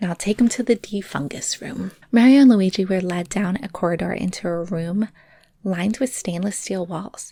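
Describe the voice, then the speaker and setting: A woman whispers quietly at a moderate pace. Her voice is somewhat breathy. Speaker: storyteller reading a junior novel aloud. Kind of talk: read story. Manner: whispered, hushed.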